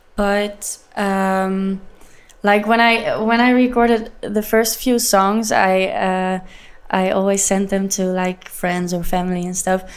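A woman with a Dutch accent speaks very slowly at a medium pitch. Her intonation stays fairly even. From Leeuwarden, Netherlands. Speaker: singer-songwriter. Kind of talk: casual interview chat. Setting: studio. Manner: halting, hesitant with fillers.

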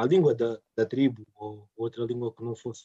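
The voice has a dark, mellow tone and fairly even intonation at a moderate pace, recorded with a dry, close sound and no echo. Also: man. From Portugal, Angolan parents. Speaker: podcast co-host. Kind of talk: casual chat.

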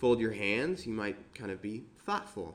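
Speaking at a moderate pace and medium pitch, a man has an unremarkable speaking voice. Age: 20s. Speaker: preacher. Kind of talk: sermon.

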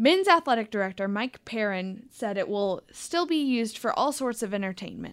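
A normal speaking voice goes at a fairly quick pace on a very clean recording with a silent background. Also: woman. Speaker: student news anchor. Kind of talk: news reading. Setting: studio.

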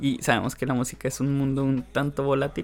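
Over music in the background, a man with a Mexican accent talks at a very fast pace in a medium pitch. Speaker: podcast co-host. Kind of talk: casual chat.

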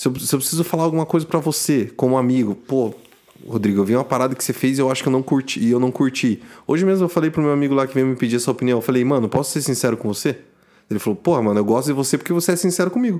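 A man speaks at a very fast pace with ordinary pitch variation. His medium-pitched voice has a dark, mellow tone. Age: 20s. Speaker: podcast co-host. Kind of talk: casual chat.

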